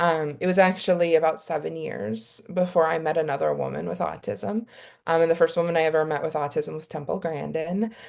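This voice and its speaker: A woman's very deep, low voice with vocal fry, ordinary pitch variation and a fairly quick pace. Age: 40s. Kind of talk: panel discussion.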